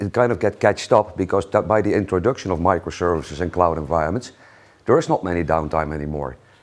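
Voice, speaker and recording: In a Dutch accent, a man talks at a very fast pace with a very deep, low pitch. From Netherlands. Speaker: solutions engineer. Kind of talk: conference talk.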